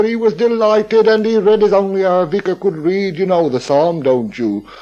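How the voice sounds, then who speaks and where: Speaking at a high pitch, a man has a dark, mellow tone. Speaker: local historian. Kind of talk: radio talk, storytelling. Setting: radio broadcast. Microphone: old recording.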